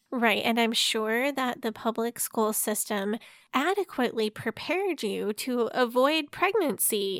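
A woman with an American accent speaks at a fairly slow pace in a high voice with lively intonation and hardly any pauses. The recording is very clean, silent in the background, and dry and close with no echo. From US Midwest, St. Louis area. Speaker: podcast guest, fellow podcaster. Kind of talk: casual chat.

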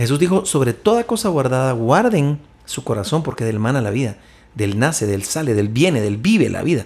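Swinging his pitch very widely, a man talks at a moderate pace in a somewhat breathy voice of medium pitch. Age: 50s. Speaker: entrepreneur and men's ministry leader. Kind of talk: casual chat.

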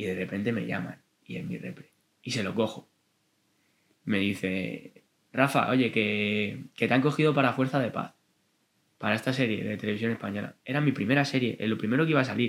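Speaking at a moderate pace with long, frequent pauses, a man uses a medium pitch, ordinary pitch variation, and vocal fry. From Madrid, Spain (Vallecas). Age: 20s. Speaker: actor and stand-up comedian. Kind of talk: casual chat.

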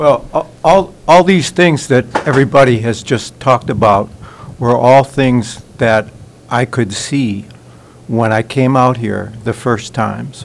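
A man's medium-pitched voice with an American accent, at a fairly slow pace, ordinary pitch variation, and noticeable background noise. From Nantucket, Massachusetts, US. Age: 60s. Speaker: resident.

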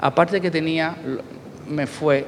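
The pace of speech is fairly slow. Noticeable background noise can be heard. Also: man. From Cuba. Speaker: dancer. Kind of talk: post-show talk.

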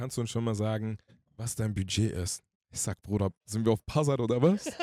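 A man's fairly low, dark and mellow voice at a fairly quick pace, dry and close with no echo, on a very clean recording with a silent background. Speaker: singer. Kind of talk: casual chat. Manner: animated.

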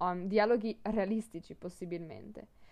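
A woman is speaking. Her pace is moderate. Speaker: language teacher podcaster. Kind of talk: podcast monologue, language lesson.

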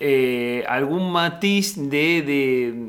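Audible room echo surrounds a man's voice. His pitch is fairly high, with ordinary variation. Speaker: podcast host. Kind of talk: interview conversation.

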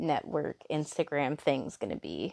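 A woman speaks at a fairly slow pace with a very deep, low pitch. The background is quiet. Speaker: solo podcaster. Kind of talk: casual monologue. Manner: halting, many fillers.

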